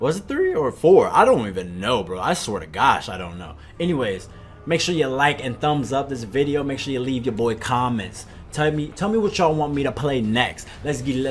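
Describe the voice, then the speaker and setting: Faint music sits behind the voice. The man speaking keeps a moderate pace. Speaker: gaming youtuber. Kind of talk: casual vlog chat. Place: home room.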